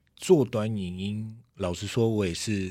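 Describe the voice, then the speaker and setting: At a fairly slow pace, a man speaks on a very clean recording with a silent background. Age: middle-aged. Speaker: podcast co-host, former tech journalist. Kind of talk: casual chat. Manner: many filler words.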